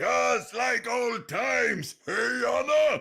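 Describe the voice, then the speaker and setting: A man in a put-on character voice, shouting at a very slow pace. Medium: video game.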